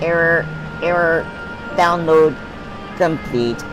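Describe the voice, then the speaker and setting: A put-on character voice sounds robotic at a middle pitch and a fairly slow pace. Loud music plays in the background. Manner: flat, mechanical, glitching.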